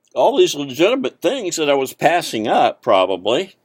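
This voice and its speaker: Speaking at a fairly slow pace with vocal fry and very wide pitch swings, a man comes through in a dry, close sound with no echo. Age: 70s. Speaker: internet marketing vlogger. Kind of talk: casual monologue to camera. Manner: halting, many fillers.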